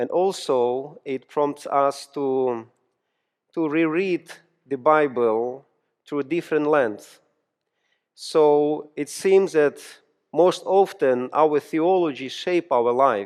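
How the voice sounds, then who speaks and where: Using a Ukrainian accent, a man talks at a very slow pace with long, frequent pauses. His pitch is fairly high with ordinary variation. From Ukraine. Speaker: pastor and seminary professor. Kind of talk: sermon. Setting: church. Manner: halting.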